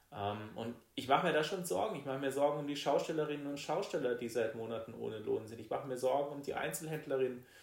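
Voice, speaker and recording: A man talks rather quickly while clear background noise and audible room echo come through. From Baden, southwest Germany. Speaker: state politician. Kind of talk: political interview.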